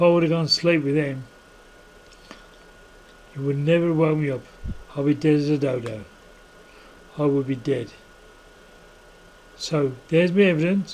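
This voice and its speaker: A man with a fairly high pitch talks at a moderate pace with ordinary pitch variation, leaving long, frequent pauses over noticeable background noise. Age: 60s. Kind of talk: casual talk to camera.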